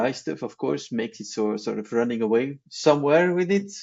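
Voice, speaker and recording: Using very wide pitch swings, a man talks at a moderate pace. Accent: non-native. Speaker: broadband technology engineer. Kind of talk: casual interview chat. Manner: hesitant, many fillers and repeats.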